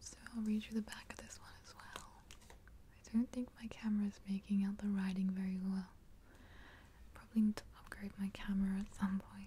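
A soft-spoken, whispering woman with an Australian accent, moderate pace, big swings in loudness, and light background noise. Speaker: ASMR creator. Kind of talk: ASMR soft-spoken show and tell. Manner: soft-spoken, whispered. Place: home room.

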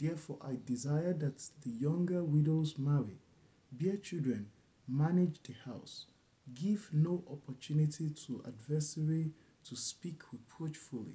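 Somewhat breathy, a man talks at a fairly slow pace with ordinary pitch variation. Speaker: bible reader. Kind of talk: scripture reading. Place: home room. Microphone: webcam.

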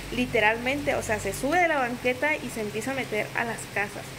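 Against noticeable background noise, a woman with a high pitch talks at a fairly quick pace with ordinary pitch variation. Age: 20s. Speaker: vlogger, single mother; vlogger. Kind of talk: casual vlog talk to camera. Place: home room. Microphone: phone near.

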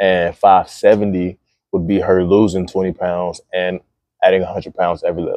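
In a dry recording with no echo and a quiet background, a man speaks at a fairly slow pace in a very deep, low pitch with monotone, flat intonation. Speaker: fitness coach vlogger. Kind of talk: casual gym vlog monologue. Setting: gym. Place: gym.

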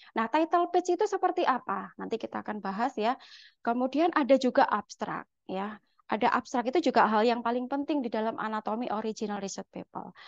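A woman with a high pitch speaks at a fairly quick pace with lively intonation over a quiet background. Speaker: lecturer. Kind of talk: lecture. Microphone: webcam.

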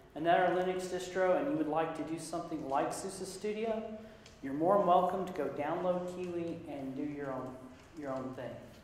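Recorded with light background noise and audible room echo, a man talks at a high pitch. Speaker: sysadmin and conference presenter. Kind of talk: conference talk. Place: meeting room.

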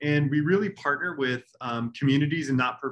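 A man's voice at a moderate pace. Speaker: guest lecturer. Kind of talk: lecture. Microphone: webcam.

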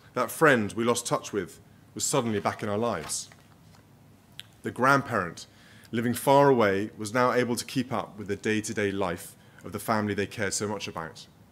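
A man talks fairly quickly in a fairly low pitch, with ordinary pitch variation. He has an unremarkable speaking voice. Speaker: keynote speaker. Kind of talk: formal speech. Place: hall. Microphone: podium.

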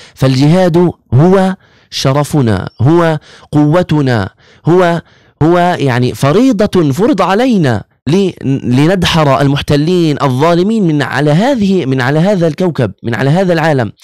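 A man with a fairly high pitch speaks at a very slow pace with lively intonation, the sound dry with no echo. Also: quiet background. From Gaza, Palestine; Palestine. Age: 20s. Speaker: imam and Quran teacher, medical student; imam, Quran teacher. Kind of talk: religious talk interview. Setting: studio. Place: studio. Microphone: studio mic.

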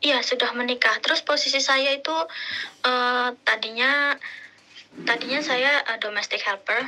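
The woman has a bright, sharp tone and ordinary pitch variation. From Indonesia. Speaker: caller, former domestic helper. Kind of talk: casual advice call. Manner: halting.

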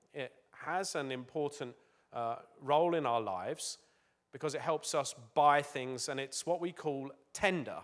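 With an English accent, a man with a fairly high voice speaks at a moderate pace, leaving long, frequent pauses against a quiet background. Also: ordinary pitch variation. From England. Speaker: business executive. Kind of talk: talk to schoolchildren. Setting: school assembly with audience. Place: stage. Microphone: handheld.

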